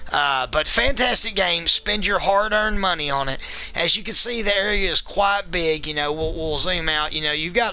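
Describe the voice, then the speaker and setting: A man speaks at a moderate pace. Noticeable background noise runs behind him. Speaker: gaming video reviewer. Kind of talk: live-streamed game review. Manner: loud; enthusiastic.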